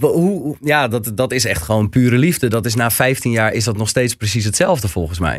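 Using an ordinary speaking voice, the man talks at a moderate pace with lively intonation, medium pitch and hardly any pauses. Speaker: podcast host. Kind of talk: casual interview. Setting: studio.

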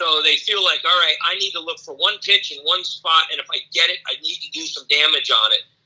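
A man speaks at a fairly quick pace. He hardly pauses at all. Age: 60s. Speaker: college baseball coach. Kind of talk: interview.

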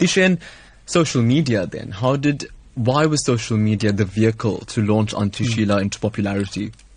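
Over a quiet background, a man with a medium pitch speaks in a somewhat breathy voice with lively intonation. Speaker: radio host. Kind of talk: radio talk show interview. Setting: studio. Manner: warm, upbeat.

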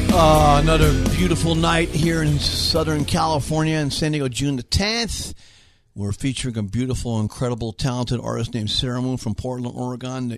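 A man's medium-pitched voice with lively intonation at a fairly quick pace, music in the background. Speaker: radio host. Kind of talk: radio DJ patter, upbeat station-break banter and show intro. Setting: studio. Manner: animated, jovial, enthusiastic with catchphrase flourishes.

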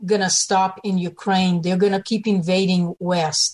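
In a plain, everyday voice, a woman speaks at medium pitch and a fairly slow pace. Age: 60s. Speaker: political activist. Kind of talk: radio interview.

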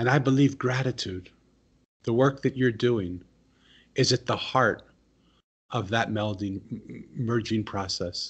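Against a quiet background, a man speaks at a fairly slow pace in a somewhat breathy voice at a medium pitch, with ordinary pitch variation and long, frequent pauses. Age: 60s. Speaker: author and former monk. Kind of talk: interview. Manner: storytelling, vivid.

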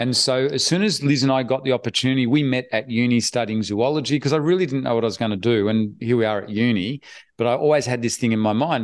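A man with an Australian accent speaks at a very fast pace in a medium pitch and an animated tone against a quiet background. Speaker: online business investor. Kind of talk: interview.

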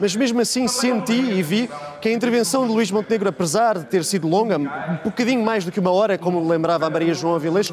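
Against noticeable background noise, a man with a high pitch talks at a very fast pace with ordinary pitch variation. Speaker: political commentator. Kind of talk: political panel debate. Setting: remote link from party congress venue.

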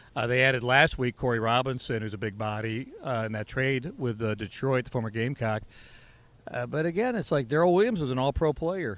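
A man's medium-pitched voice, an ordinary speaking voice, with ordinary pitch variation at a fairly quick pace. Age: 50s. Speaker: sports podcast co-host. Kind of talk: casual chat.

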